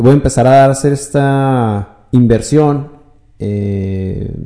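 Very slowly, a man speaks at a medium pitch in a dark, mellow tone with ordinary pitch variation. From Chihuahua, northern Mexico. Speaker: entrepreneur and finance consultant. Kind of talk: podcast interview.

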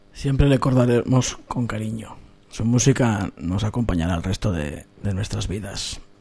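At a moderate pace, a man talks in a plain, everyday voice, his pitch fairly low with ordinary pitch variation. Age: 40s. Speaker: radio host. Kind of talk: radio show presentation.

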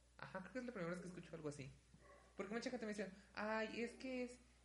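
A man's lively intonation rises above noticeable background noise. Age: 20s. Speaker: podcast co-host, university student. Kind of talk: casual chat.

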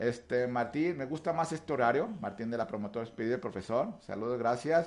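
At a moderate pace, a man speaks with lively intonation. He has an unremarkable speaking voice. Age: 40s. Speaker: radio show host and runner. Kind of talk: casual chat.

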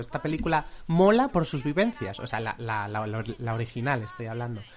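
A man with a Spanish accent, at a moderate pace. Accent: Peninsular Spanish. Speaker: film podcast host. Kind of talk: casual chat.

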